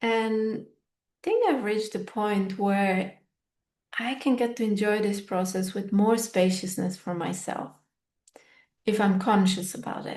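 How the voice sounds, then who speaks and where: Her voice somewhat breathy, a woman speaks fairly slowly in a medium pitch with fairly even intonation. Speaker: podcast host and fitness teacher. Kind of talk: reflective solo podcast monologue. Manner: unscripted, thoughtful.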